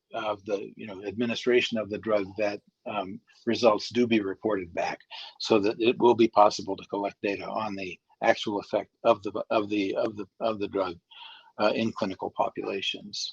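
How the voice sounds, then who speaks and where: This man's fairly low voice stays flat and monotone at a moderate pace, with big swings in loudness and a dry, close sound with no echo. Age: 70s. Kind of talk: interview. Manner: halting, many fillers.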